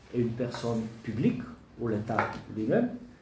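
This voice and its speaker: There is audible room echo and noticeable background noise. A man talks at a fairly slow pace. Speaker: law lecturer. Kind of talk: lecture. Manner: halting.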